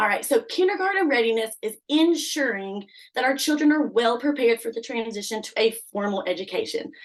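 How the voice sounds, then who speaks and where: A woman with an American accent talks loudly in a high voice at a fairly quick pace. She barely pauses, and her intonation is lively. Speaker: kindergarten teacher. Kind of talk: presentation. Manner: animated.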